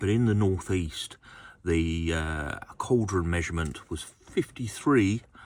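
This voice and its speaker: In an Essex accent, a man with a very deep, low pitch talks at a fairly slow pace in a relaxed tone. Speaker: model railway collector and video host. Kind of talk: casual product review. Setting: home workshop. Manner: relaxed, many fillers.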